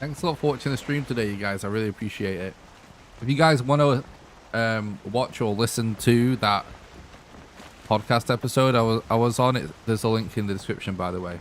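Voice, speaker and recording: A man speaks at a fairly quick pace with a Lancashire accent. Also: medium pitch for a man, ordinary pitch variation. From northern England, Lancashire. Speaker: video game streamer. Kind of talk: live gameplay commentary. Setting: live stream. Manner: casual, rambling.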